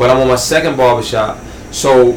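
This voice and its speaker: The speaker has a New York accent. Noticeable background noise and audible room echo fill the recording. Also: man. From Southeast Queens, New York. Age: 30s. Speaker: barber and entrepreneur. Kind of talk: casual interview.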